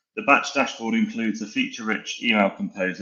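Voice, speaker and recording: A man speaks at a fairly quick pace. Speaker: sales account executive. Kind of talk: product demo in a webinar. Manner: calm, relaxing.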